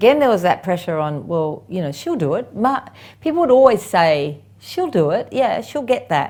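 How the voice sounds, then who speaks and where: This is a woman with an Australian accent. Her intonation is lively. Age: 60s. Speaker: property investment expert. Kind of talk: podcast interview.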